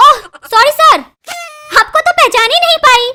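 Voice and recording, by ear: In a cartoonish character voice, a woman speaks at an extremely high pitch with very wide pitch swings. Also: moderate pace.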